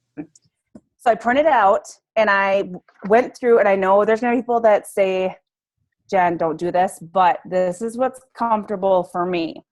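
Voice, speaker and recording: A woman's medium-pitched, ordinary speaking voice with ordinary pitch variation at a moderate pace. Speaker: fitness coach. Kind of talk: training call. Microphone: poor connection.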